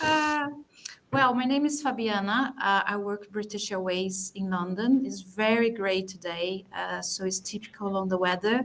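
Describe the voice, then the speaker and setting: A woman with a Portuguese accent, medium pitch, moderate pace and ordinary pitch variation. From Brazil. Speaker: DAM professional, attendee. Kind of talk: self-introduction in online meeting.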